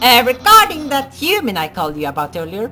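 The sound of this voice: A woman puts on a character voice, bright and sharp, pitched fairly high, swinging very widely in pitch at a fairly quick pace.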